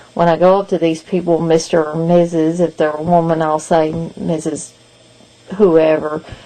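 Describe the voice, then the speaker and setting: A woman speaks with a Kentucky accent in a fairly low voice. Noticeable background noise runs behind her. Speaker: video blogger and podcast co-host. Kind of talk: casual vlog update.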